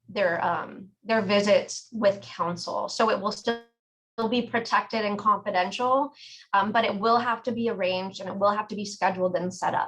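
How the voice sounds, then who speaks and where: At a moderate pace, a woman uses a normal speaking voice, medium in pitch, with fairly even intonation. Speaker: sheriff's department program staff. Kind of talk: presentation Q&A.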